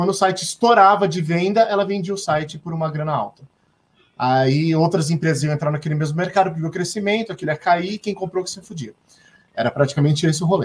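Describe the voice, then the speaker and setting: This man has a high-pitched voice with ordinary pitch variation. He talks at a very fast pace. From São Paulo coast, Brazil (Santos). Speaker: talk show host. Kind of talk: casual chat. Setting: live stream video call.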